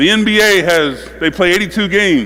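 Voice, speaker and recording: In a high pitch with ordinary pitch variation, a man speaks in an animated tone with a raised, projected voice, amid audible room echo and noticeable background noise. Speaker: basketball coach. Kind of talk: coaching clinic with players on court.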